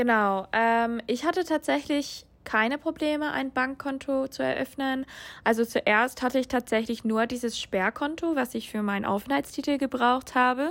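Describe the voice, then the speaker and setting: This woman has a high pitch and ordinary pitch variation. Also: moderate pace. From USA. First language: English (speaking German). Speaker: international master's student. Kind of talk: interview. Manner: hesitant, many filler sounds.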